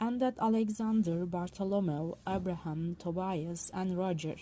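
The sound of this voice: The pitch varies in an ordinary way. The voice is an unforced reading voice.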